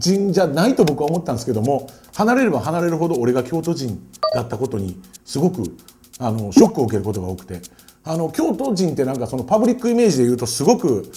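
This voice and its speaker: Very fast speech from a man, fairly high in pitch with very wide pitch swings, plus audible room echo. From Kyoto, Nishijin. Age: 40s. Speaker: DJ and music producer. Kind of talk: short lecture. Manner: casual, many fillers.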